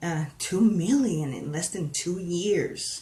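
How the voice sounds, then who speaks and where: This voice, in a Spanish accent, moves at a very slow pace. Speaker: paranormal discussion panelist. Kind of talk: live stream discussion. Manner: halting, many fillers.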